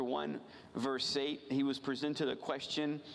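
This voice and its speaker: A man with an American accent talks at a moderate pace and medium pitch. Room echo is audible. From rural Virginia. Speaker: missionary. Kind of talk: missions sermon from a church pulpit. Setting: church service. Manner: earnest, halting with frequent repeated words and fillers.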